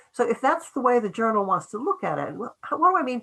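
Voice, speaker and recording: A bright, sharp voice with an American accent moves through very wide pitch swings. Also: woman. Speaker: professor. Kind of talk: lecture. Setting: video call. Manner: fast.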